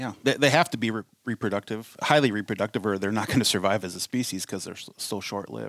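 A man speaks very fast with a Minnesotan accent, his pitch fairly low and his pitch variation ordinary. There are hardly any pauses, and the sound is dry and close with no echo. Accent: Minnesota. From US Midwest. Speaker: conservation director. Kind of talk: casual interview chat. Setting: studio.

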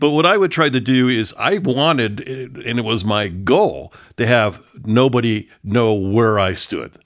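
On a very clean recording with a silent background, a man with a normal speaking voice and a General American accent speaks fairly slowly at medium pitch with lively intonation. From San Francisco Bay Area, California. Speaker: radio news journalist. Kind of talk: interview.

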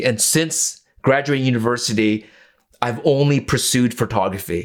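A man's normal speaking voice, medium pitch, ordinary pitch variation and moderate pace. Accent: Canadian. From Canada, East Vancouver. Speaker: photographer. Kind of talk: casual chat.

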